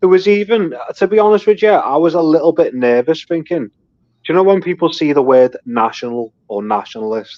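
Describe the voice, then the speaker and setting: Delivered in a Liverpool accent at a fairly quick pace, the voice makes very wide pitch swings. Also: man, fairly high pitch for a man. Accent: Scouse (Liverpool). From North Liverpool, England. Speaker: amateur boxer and political activist. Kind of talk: casual chat.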